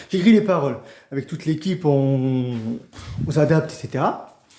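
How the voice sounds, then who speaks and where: A man's voice carries ordinary pitch variation. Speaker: songwriter for a channel. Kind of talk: unplanned direct-to-camera announcement. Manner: fast; halting, many repetitions and slips.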